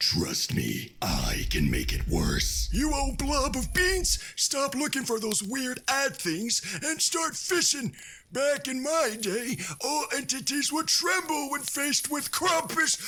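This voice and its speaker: A man's put-on character voice at an extremely high pitch, fairly slow, over light background noise. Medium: audio drama. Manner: blustery, theatrical menace.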